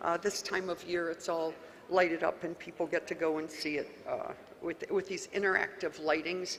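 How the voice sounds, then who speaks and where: A woman with an American accent and a fairly low pitch at a moderate pace, with noticeable background noise. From US, West Virginia (Wheeling). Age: 70s. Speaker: county official. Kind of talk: conference talk. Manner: animated.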